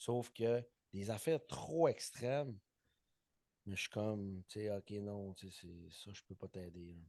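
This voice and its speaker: A man with a Saguenay accent talks at a very slow pace, with long, frequent pauses and big swings in loudness. His fairly low, dark, mellow voice shows ordinary pitch variation in a dry, close sound with no echo. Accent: Saguenay Quebec French. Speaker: personal trainer and podcast co-host. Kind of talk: casual chat.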